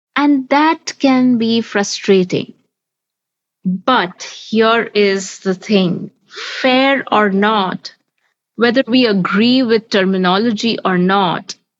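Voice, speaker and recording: At a very slow pace, a woman talks with a fairly high pitch and ordinary pitch variation. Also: very even loudness. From Bengali-speaking household, English-medium school campus. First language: Bengali. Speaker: podcast host. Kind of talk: podcast discussion.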